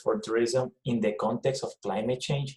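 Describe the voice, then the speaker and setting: Speaking in a Puerto Rican accent at a moderate pace, a man with a medium pitch sounds somewhat breathy and uses lively intonation. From Puerto Rico. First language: Spanish. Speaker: professor. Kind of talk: presentation. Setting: video call.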